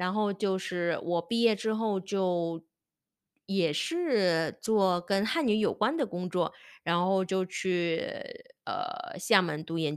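A woman's voice, very clean recording, silent background. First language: not Chinese (speaking Chinese). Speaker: Chinese language teacher and podcast host. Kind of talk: casual solo monologue. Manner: halting, many fillers.

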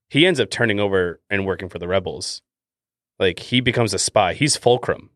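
A man with a Canadian accent talks at a fairly quick pace in a plain, everyday voice. His pitch variation is ordinary, and the sound is dry and close with no echo. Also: fairly low pitch for a man, quiet background. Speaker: podcast host. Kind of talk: casual chat.

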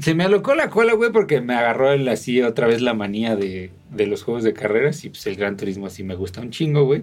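Speaking at a moderate pace, a man with a Mexican accent uses lively intonation. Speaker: podcast co-host. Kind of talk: casual chat. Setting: video podcast recording.

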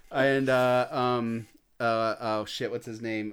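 In a very clean recording with a silent background, a man with an American accent speaks at a fairly slow pace in a flat monotone at medium pitch. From Indiana, US Midwest. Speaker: indie film director. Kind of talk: casual chat.

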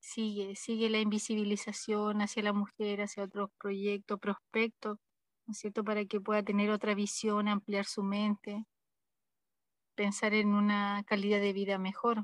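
A woman with a medium pitch speaks at a fairly slow pace, captured with a dry, close sound and no echo. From northern Chile, Arica. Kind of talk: interview. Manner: halting, with many repetitions and fillers.

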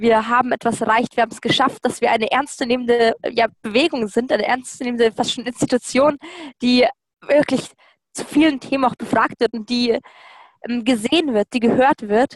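The intonation stays fairly even at a moderate pace, with long, frequent pauses in a dry, close sound free of echo. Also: woman, high pitch for a woman. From Lower Bavaria, Germany. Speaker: climate activist. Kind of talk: interview. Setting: video call.

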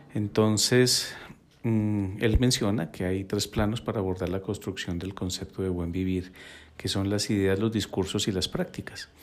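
A man with fairly low pitch, fairly even intonation and a fairly slow pace. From Colombia, Bogotá (born in Quito, Ecuador). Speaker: psychologist and podcast host. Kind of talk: reflective solo podcast monologue. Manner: hesitant, many filler sounds.

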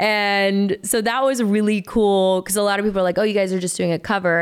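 A woman with an American accent talks at a very fast pace in an animated tone and a medium pitch. The recording is very clean, with a silent background. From US South, Chattanooga, Tennessee. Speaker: singer-songwriter. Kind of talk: casual chat.

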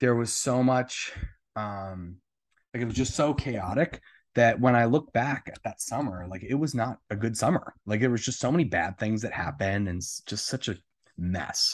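In a normal speaking voice with an American accent, a man talks at a moderate pace and medium pitch with ordinary pitch variation against a quiet background. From New Jersey. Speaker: adult film performer and comedian in recovery. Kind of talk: casual interview, personal testimony.

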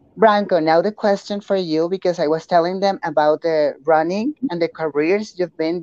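Recorded dry and close with no echo over a quiet background, a woman with a Spanish accent speaks at a moderate pace and a fairly low pitch, her tone dark and mellow, with ordinary pitch variation. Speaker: fitness trainer and interviewer. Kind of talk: bilingual interview with live translation. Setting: video call.

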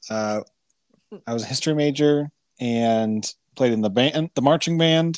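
The speech moves at a moderate pace with long, frequent pauses, in a dry, close sound with no echo over a quiet background. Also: man, medium pitch for a man, ordinary pitch variation. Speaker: guest, husband of host. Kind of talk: casual chat. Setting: recording remotely over a call.

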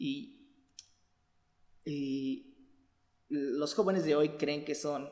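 Fairly high-pitched male speech at a very slow pace, with long, frequent pauses and fairly even intonation. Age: 20s. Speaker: church youth podcast host. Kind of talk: casual chat.

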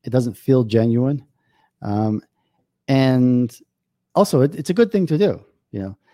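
Leaving long, frequent pauses, a man with a New York accent talks at a fairly slow pace with lively intonation. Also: medium pitch for a man. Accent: New York American. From US, New York. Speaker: business consultant. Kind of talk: interview.

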